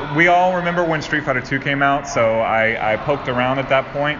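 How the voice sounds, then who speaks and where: A man talks over noticeable background noise. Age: 30s. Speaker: arcade community liaison. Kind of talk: interview.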